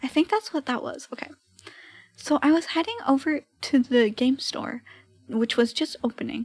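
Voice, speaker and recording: A soft-spoken woman talks at a moderate pace with a high pitch and ordinary pitch variation. The sound is dry and close, with no echo. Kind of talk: reading a teen-written story aloud.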